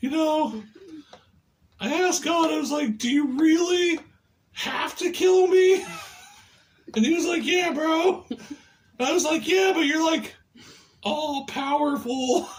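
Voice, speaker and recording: A cartoonish character voice speaks at a high pitch. The pace is fairly slow, with long, frequent pauses. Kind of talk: crude comedy puppet bit. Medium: puppet.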